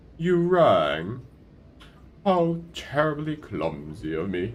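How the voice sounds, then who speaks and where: A man's voice with audible room echo. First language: not English. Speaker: gaming streamer. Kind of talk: casual chat.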